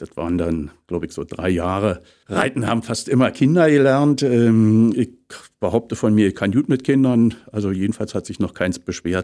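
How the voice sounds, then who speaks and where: A man speaks with a dark, mellow tone and lively intonation. The background is quiet. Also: moderate pace. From Potsdam, eastern Germany; Germany. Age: 50s. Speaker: actor and voice actor; actor, voice actor. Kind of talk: casual interview. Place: studio.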